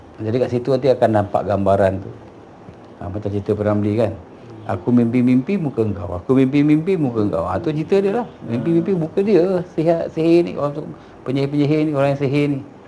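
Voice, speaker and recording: Over noticeable background noise, a man speaks at a very fast pace, his medium pitch swinging very widely. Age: 60s. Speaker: traditional healer. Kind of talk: consultation with clients.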